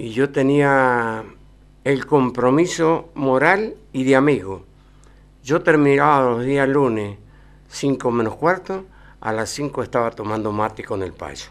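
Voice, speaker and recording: The pace here is very slow. The man's voice sits at a medium pitch. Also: ordinary pitch variation. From Argentina. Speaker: cycling race announcer; interview guest. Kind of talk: TV interview. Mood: nostalgic, warm reminiscing. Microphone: podium.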